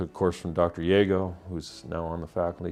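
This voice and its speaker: With music in the background, a man speaks at a very fast pace. His voice is very deep and low, with ordinary pitch variation. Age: 60s. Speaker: pastor and seminary student. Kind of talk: interview. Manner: halting, many fillers and repeats.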